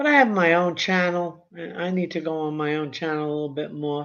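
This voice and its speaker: With a New York accent, a woman speaks at a moderate pace. Her very deep, low pitch carries fairly even intonation. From Brooklyn, New York. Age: 70s. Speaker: YouTube commentator. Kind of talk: casual live stream chat. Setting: live stream. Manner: halting, with many fillers.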